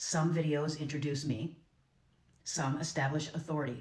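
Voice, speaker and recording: In a confident tone, a woman with a very deep, low pitch and a somewhat breathy voice speaks at a moderate pace with fairly even intonation and audible room echo. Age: 50s. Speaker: content creator. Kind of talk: scripted monologue.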